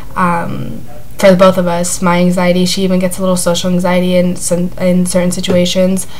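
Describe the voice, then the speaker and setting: Over noticeable background noise and audible room echo, a woman speaks at a fairly quick pace with a medium pitch. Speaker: vlogger sharing anxiety recovery. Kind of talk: casual vlog talk. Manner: hesitant, many fillers.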